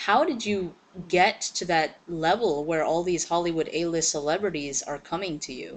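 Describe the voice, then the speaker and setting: Pitch varies in an ordinary way at a moderate pace. It is a plain, everyday voice. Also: woman, fairly low pitch for a woman. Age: 30s. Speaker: interviewer. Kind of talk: interview.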